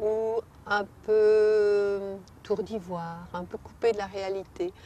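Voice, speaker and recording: A woman of medium pitch speaks with a slight Belgian accent and a dark, mellow tone. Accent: slight local Belgian. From Belgium. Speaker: poet. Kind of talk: interview answer.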